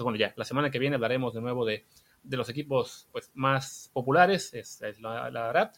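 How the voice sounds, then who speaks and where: Using a normal speaking voice, a man of medium pitch talks at a fairly quick pace with ordinary pitch variation. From Mexico, Veracruz. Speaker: podcast host. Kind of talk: casual chat.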